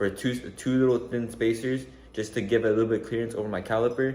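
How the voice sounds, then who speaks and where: A man's voice with fairly even intonation and audible room echo. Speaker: car enthusiast vlogger. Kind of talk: casual vlog. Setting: outdoors. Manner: stutter; hesitant, many fillers.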